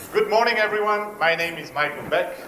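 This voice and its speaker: A man talks with a French accent. There is audible room echo and noticeable background noise. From France, near German border. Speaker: entrepreneur. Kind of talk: pitch talk.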